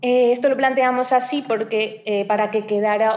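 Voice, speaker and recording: A woman's fairly even intonation comes through noticeable background noise. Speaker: doctoral researcher. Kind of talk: academic presentation. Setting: university seminar room.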